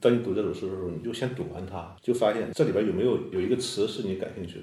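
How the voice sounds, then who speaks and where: Somewhat breathy and dark, mellow in tone, a man talks at a very fast pace with lively intonation amid audible room echo. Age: young. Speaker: poet. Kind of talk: casual interview chat.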